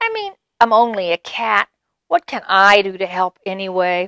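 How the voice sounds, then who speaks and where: A female-sounding voice in a put-on character voice speaks at a moderate pace and a medium pitch. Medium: read story.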